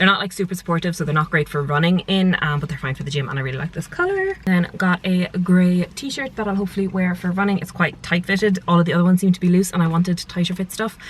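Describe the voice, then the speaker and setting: A woman with an Irish accent talks at a very fast pace with hardly any pauses. Her voice is somewhat breathy and fairly low in pitch. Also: ordinary pitch variation. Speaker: lifestyle vlogger. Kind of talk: casual vlog. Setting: at home in bedroom. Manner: whispering.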